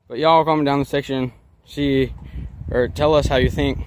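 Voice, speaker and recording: A man's medium-pitched voice, an ordinary speaking voice, at a moderate pace with ordinary pitch variation. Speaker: youtuber. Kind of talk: casual vlog. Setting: outdoors.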